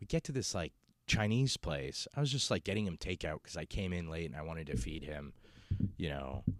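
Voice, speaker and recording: Talking fairly quickly, a man with a very deep, low voice and vocal fry swings his pitch very widely, the sound dry and close with no echo. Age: 30s. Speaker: comedian. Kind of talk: casual monologue. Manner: halting, many fillers.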